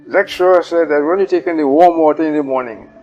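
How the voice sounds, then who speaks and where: Background music plays. The talking proceeds at a moderate pace. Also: man. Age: 80s+. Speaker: retired oil company gauger. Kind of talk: interview answer.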